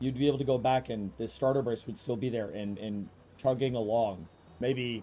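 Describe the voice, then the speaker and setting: Music plays in the background. The speech is fairly quick, with ordinary pitch variation. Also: man. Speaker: gaming streamer. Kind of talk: live gameplay stream with chat. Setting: live stream. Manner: casual, many fillers.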